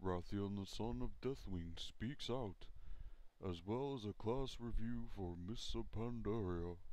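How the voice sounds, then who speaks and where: Using a put-on character voice, a man talks at a fairly slow pace and fairly low pitch, with clear background noise behind him. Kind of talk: parody TV news anchor read.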